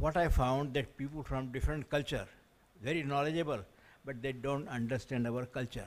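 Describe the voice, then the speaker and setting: A man with an Indian accent speaks at a fairly high pitch. His pace is fairly quick and his intonation fairly even. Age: 80s+. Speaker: scientist and education consultant. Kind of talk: audience question at conference. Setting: conference hall with audience.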